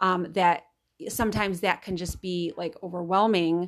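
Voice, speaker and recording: In a normal speaking voice, a woman talks at a moderate pace with a medium pitch. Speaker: podcast host. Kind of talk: casual chat. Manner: warm, encouraging.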